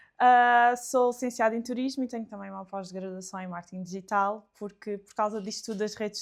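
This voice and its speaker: Fairly high, fairly quick female speech in an unremarkable speaking voice, its pitch varying in an ordinary way. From Alentejo, Portugal. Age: 20s. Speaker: book content creator. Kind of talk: casual interview chat.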